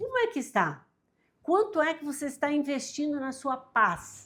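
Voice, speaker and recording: A woman with an animated tone, very wide pitch swings, and a fairly slow pace. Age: 60s. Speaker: self-help youtuber. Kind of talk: motivational talk to camera.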